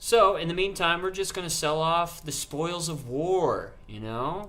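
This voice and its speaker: A man's voice is heard with audible room echo. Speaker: gaming streamer. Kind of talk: live stream gameplay chat. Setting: live stream. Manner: slow; casual.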